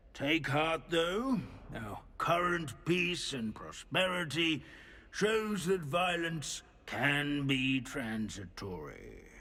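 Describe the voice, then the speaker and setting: A man talks in a put-on character voice, fairly high in pitch and at a very slow pace. The recording is very clean, with a silent background. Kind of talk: academic lecture. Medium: video game. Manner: pedantic, lecturing.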